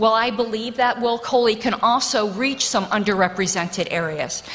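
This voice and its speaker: Her intonation moves in a lively way. The woman holds a moderate pace. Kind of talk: nomination speech. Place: hall. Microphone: podium.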